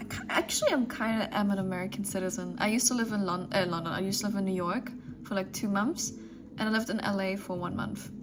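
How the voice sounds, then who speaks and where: Very fast speech from a woman with a medium pitch and lively intonation, with audible room echo and noticeable background noise. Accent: German. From Germany. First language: German. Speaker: streamer. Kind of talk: casual chat. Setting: live stream.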